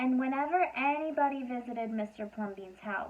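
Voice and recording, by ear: A woman speaks at a moderate pace in a high voice with ordinary pitch variation.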